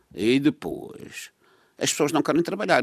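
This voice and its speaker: A man's voice comes across dry and close, without any echo. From Madeira, Portugal. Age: 80s. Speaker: radio panel commentator. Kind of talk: radio panel discussion.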